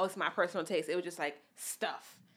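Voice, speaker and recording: A woman with a New York accent at a fairly quick pace, on a very clean recording with a silent background. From New York, the Bronx. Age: 30s. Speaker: fashion designer. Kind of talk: casual chat.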